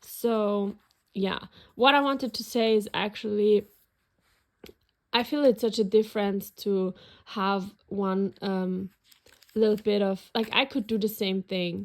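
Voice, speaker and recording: A woman's medium-pitched voice in a German accent, fairly slow and fairly even in intonation, with long, frequent pauses. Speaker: planner and journaling YouTuber. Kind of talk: casual flip-through video. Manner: hesitant, many fillers.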